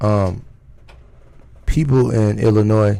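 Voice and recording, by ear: The voice is raspy, with a dark, mellow tone and vocal fry. Its pitch varies in an ordinary way. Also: man.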